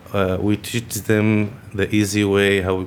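Against noticeable background noise, someone speaks very slowly with an Arabic accent. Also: man. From Lebanon. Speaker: refugee carpenter. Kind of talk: interview.

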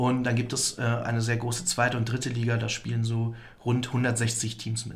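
Audible room echo surrounds a man speaking at medium pitch with flat, monotone intonation. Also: moderate pace. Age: 20s. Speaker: student esports club chairman. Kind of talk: interview. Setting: studio.

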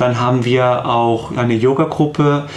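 A man's medium-pitched, monotone voice at a moderate pace, with flat intonation, audible room echo and noticeable background noise. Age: 30s. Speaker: psycho-oncologist, counselling centre head. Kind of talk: radio interview. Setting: radio studio.

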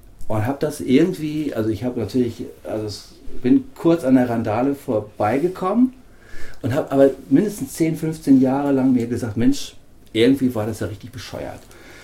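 Somewhat breathy and dark, mellow in tone, a man speaks at medium pitch and a moderate pace, with ordinary pitch variation and big swings in loudness. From northern Germany. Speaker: radio interviewer. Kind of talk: interview.

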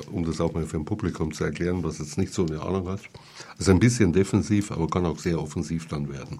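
A man talks at a very fast pace in a very deep, low pitch. His pitch varies an ordinary amount. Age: 60s. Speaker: radio host. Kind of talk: casual chat. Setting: studio.

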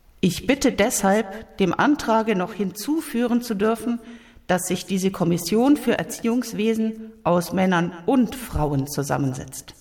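Over noticeable background noise, a woman speaks at a fairly slow pace with lively intonation. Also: medium pitch for a woman. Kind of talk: reading aloud of 1919 congress speeches and writings, delivered as a political speech. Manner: earnest, impassioned, formal oratory with measured pace.

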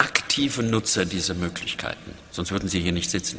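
The speaker is a man. Noticeable background noise sits behind him. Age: 50s. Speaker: public radio director. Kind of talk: panel discussion.

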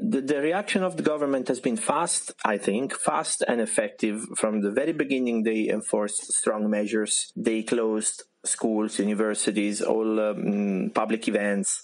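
At a fairly slow pace and with hardly any pauses, a man speaks at a medium pitch with ordinary pitch variation and very even loudness. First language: Italian (speaking German). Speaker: freelancer. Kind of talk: interview testimony.

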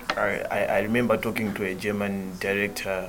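A man speaks in a monotone, flat way at a fairly low pitch. There is audible room echo and noticeable background noise. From central Malawi. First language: Chichewa. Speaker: theatre director. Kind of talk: casual interview conversation. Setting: in Graz, Austria on tour.

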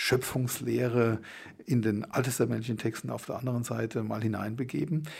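A man's somewhat breathy voice has a dark, mellow tone, a medium pitch and a moderate pace. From Germany. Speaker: theology professor. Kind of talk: interview.

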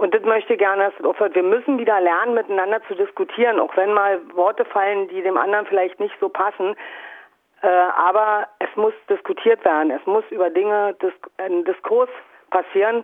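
In a plain, everyday voice, a woman at medium pitch talks at a moderate pace with fairly even intonation. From Brandenburg, East Germany. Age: 50s. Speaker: anarchist activist. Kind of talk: interview.

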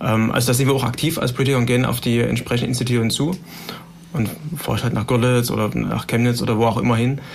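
Amid noticeable background noise and audible room echo, a medium-pitched man talks at a very fast pace with fairly even intonation and very even loudness. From Saxony, Germany (Heidenau). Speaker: politician, party education spokesman. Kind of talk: panel discussion. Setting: studio.

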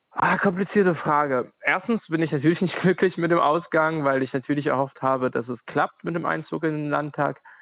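In a normal speaking voice, a man talks at a fairly quick pace with hardly any pauses. His pitch is fairly high and varies in an ordinary way. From Ukraine. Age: 30s. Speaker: anti-discrimination worker and activist. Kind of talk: interview.

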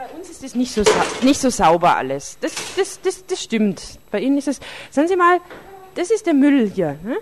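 A woman speaks at a moderate pace in a high pitch, her voice swinging very widely up and down, with long, frequent pauses and noticeable background noise. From Tübingen, Swabia. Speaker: community radio reporter. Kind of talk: street interviews and narrated reportage. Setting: outdoors on city streets and in a club. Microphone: wind noise, poor sound quality.

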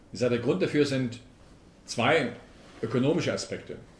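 A man talks at a medium pitch, somewhat breathy. Audible room echo surrounds his voice. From Swabia, southern Germany. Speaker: politician and transport expert. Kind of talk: public lecture. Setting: town hall talk with audience.

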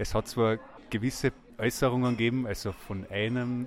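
In a plain, everyday voice, a man talks at a moderate pace and medium pitch. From Austria, Carinthia. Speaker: vox pop interviewee. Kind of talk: street interview.

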